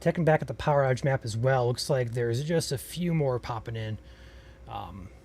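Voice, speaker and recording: Speaking at a fairly quick pace, a man with an American accent has a medium pitch, a somewhat breathy quality and ordinary pitch variation. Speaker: storm chaser livestream host. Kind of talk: live weather coverage. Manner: soft-spoken.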